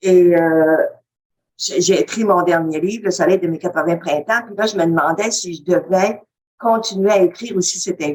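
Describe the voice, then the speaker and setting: A woman speaks with a Quebec accent. Her pace is moderate. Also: medium pitch for a woman, ordinary pitch variation, big swings in loudness. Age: 80s+. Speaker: webinar participant. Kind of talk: testimony. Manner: halting.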